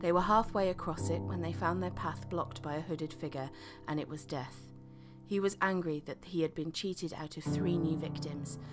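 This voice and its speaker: With music in the background, a woman with a very deep, low pitch speaks at a fairly quick pace. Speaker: voice actor. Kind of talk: children's story reading.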